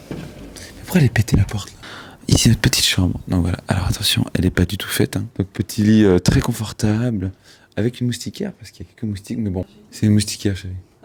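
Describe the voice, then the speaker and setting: A man whispers at a very fast pace, with big swings in loudness. The sound is dry and close, without echo. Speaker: vlogger. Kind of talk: casual home tour vlog. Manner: whispering.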